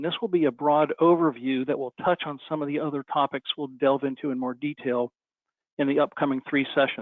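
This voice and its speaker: Talking at a very fast pace, a man uses a fairly high pitch and ordinary pitch variation. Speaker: company CEO presenting webinar. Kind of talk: webinar presentation.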